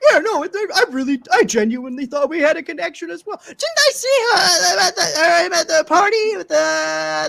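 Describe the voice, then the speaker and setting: Someone does a put-on character voice at a high pitch. The pace is moderate. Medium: actual play.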